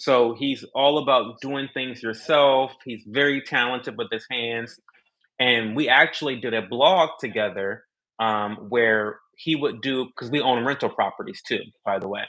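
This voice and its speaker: A man talks at a fairly slow pace. His voice is medium in pitch with ordinary variation. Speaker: content creator. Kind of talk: podcast interview. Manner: loud.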